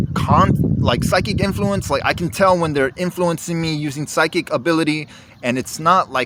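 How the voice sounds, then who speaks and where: A man at a moderate pace and fairly high pitch, against noticeable background noise. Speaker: video diarist. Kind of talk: video journal monologue. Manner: halting.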